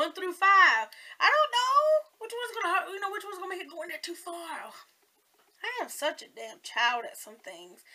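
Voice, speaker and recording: Using a raised, projected voice with a Southern US accent, a woman talks at a fairly quick pace and an extremely high pitch, with very wide pitch swings and big swings in loudness. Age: 40s. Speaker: beauty vlogger. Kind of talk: casual makeup tutorial vlog. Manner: rambling, chatty.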